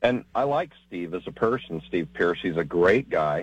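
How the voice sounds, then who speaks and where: A man's very deep, low voice at a moderate pace. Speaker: caller. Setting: phone call.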